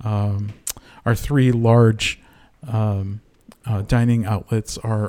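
In an American accent, a man speaks at a fairly low pitch with a dark, mellow tone. His intonation is monotone and flat, in a very clean recording with a silent background. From Connecticut. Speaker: university executive chef. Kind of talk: casual interview. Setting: studio.

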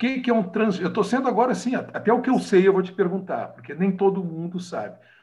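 In a room with audible echo, a man with a high pitch talks at a fairly quick pace with lively intonation. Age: 50s. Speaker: podcast host, lawyer. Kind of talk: casual interview. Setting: video call.

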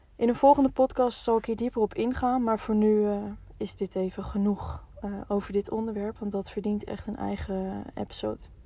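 Amid noticeable background noise, a woman with a fairly high voice speaks at a moderate pace with fairly even intonation. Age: 20s. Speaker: podcast host. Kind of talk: personal storytelling monologue. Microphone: poor sound quality in first episode.

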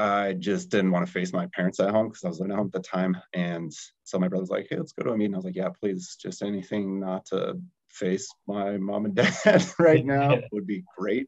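Using a plain, everyday voice, a man speaks at a fairly quick pace in a fairly low pitch with ordinary pitch variation. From Colorado, US. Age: 30s. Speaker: startup founder, recovering alcoholic. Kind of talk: casual chat.

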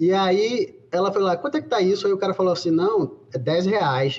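This man's voice is high-pitched. His pace is moderate. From Bahia, Brazil. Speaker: virus evolution researcher. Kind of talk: interview conversation.

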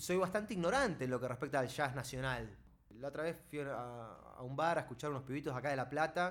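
A man speaks in a normal speaking voice at a fairly quick pace, fairly high in pitch with ordinary pitch variation. The recording is very clean, with a silent background. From Neuquén, Argentina. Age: 30s. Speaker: podcast co-host, philosophy student. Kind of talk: casual chat.

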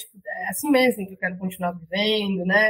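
A woman speaks at a fairly quick pace and medium pitch, with ordinary pitch variation. She has a plain, everyday voice. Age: 30s. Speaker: podcaster. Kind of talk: interview.

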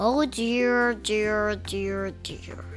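A put-on character voice is heard over clear music in the background. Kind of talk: children's story narration. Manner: sighing, weary, fretful.

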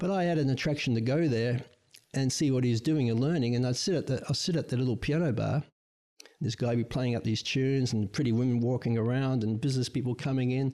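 A man talks at a very fast pace with an Australian accent. His tone is dark and mellow, and his loudness stays very even. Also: medium pitch for a man, ordinary pitch variation. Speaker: guest, host's father. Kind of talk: casual chat.

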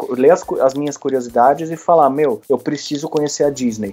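At a fairly quick pace with hardly any pauses, a man talks in a plain, everyday voice at a fairly high pitch. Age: 30s. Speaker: Instagram content creator. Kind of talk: interview. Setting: studio.

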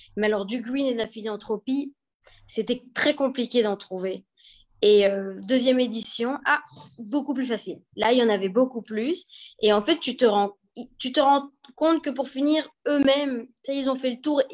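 Her pitch high, a woman talks with typical variation in her voice. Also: moderate pace. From Belgium. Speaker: entrepreneur, event founder. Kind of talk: interview. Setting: live video stream.

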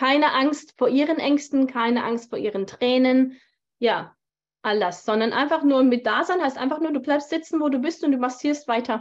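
A woman's high voice with ordinary pitch variation. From Germany. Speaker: tantra teacher and bodyworker. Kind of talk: interview. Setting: video call.

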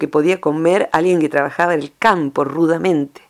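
At a moderate pace, a woman with an unremarkable speaking voice talks in a fairly low pitch. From Argentina, rural province. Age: 50s. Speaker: psychologist. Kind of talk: radio interview column.

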